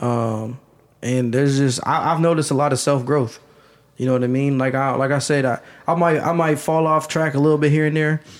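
This man has an American accent and a fairly high pitch, speaking at a fairly quick pace with fairly even intonation and very even loudness. It is an ordinary speaking voice. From Ohio, US (Canton). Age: 20s. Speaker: rapper. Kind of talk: casual chat.

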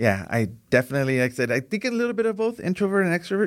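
Speaking with an American accent, a man races along at a very fast pace. His high voice makes big pitch swings.

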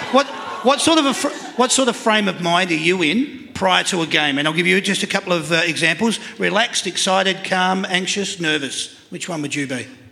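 A man with an Australian accent speaks in a raised, projected voice at a high pitch, with an animated tone and lively intonation. He talks at a fairly quick pace with hardly any pauses, over noticeable background noise. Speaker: live panel show host. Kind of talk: live panel show hosting. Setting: stage with live audience.

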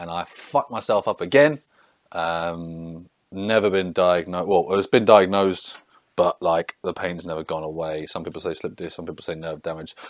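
An English accent with ordinary pitch variation and a dry, close sound with no echo. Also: man, very deep, low pitch for a man, moderate pace. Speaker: strength and conditioning coach. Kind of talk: solo podcast monologue.

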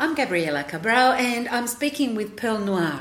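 A woman's fairly high voice with big pitch swings, a fairly bright tone and a moderate pace

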